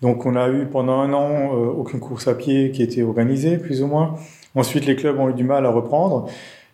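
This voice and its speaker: Heard with audible room echo, a dark, mellow voice moves at a moderate pace in a monotone, flat intonation. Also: man, medium pitch for a man. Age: 40s. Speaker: mathematician and software developer. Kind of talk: technical interview discussion.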